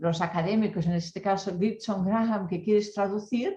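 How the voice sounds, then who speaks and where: Dark, mellow tone from a woman, somewhat breathy and medium in pitch. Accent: Catalan. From Catalonia, rural mountain area. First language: Catalan (speaking Spanish). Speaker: academic researcher. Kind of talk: panel discussion. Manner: halting, with many fillers.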